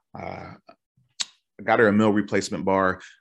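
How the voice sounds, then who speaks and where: A man's fairly low-pitched voice at a fairly slow pace over a quiet background. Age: 40s. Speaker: podcast host. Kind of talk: casual monologue. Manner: animated.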